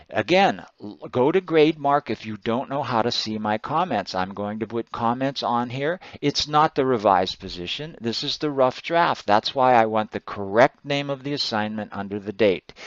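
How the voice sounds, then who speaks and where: Speaking in an ordinary speaking voice, a man keeps a moderate pace and medium pitch with lively intonation and hardly any pauses. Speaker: college writing instructor. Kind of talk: screencast feedback tutorial.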